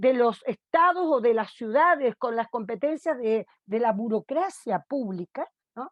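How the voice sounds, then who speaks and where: This woman speaks with a high pitch. Her intonation is lively. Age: 50s. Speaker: sociologist. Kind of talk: lecture. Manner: halting.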